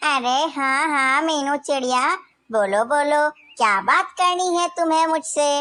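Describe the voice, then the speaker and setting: A cartoonish character voice moves at a fairly slow pace with ordinary pitch variation. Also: woman, high pitch for a woman. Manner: soft, caring.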